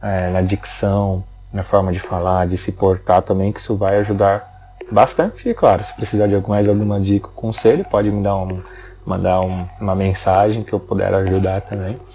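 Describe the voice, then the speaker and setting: A man with a fairly low pitch, monotone, flat intonation and moderate pace, over noticeable background noise. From São Paulo, Brazil. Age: 30s. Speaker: marketing and video professional. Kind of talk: interview.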